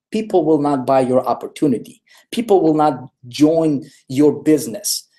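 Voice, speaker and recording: Dark and mellow in tone, a man speaks with a fairly high voice. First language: not English. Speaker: online marketing trainer. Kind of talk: live webinar presentation. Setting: live video stream. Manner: repetitive, emphatic.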